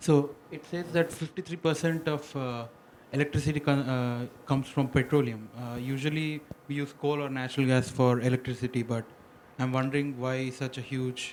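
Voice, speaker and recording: A man speaks quietly at a medium pitch. His pace is fairly quick and his intonation fairly even. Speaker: student. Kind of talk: classroom question.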